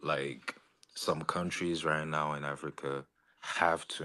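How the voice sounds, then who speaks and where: A man speaks very slowly in a very deep, low pitch. His tone is bright and sharp, and his intonation stays monotone and flat. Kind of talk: debate.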